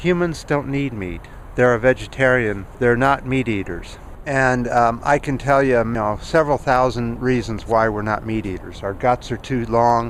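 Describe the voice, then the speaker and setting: Noticeable background noise accompanies a man with a medium pitch. He keeps a moderate pace and ordinary pitch variation. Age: 60s. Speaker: YouTuber. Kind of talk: vlog commentary. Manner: halting, with frequent fillers.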